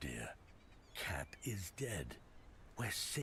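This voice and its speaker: Using a put-on character voice, a man whispers over clear background noise. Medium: video game.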